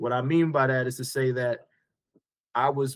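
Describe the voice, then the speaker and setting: At a fairly slow pace, a man with an American accent speaks at a medium pitch. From New York. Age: 50s. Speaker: entrepreneur. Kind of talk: podcast interview.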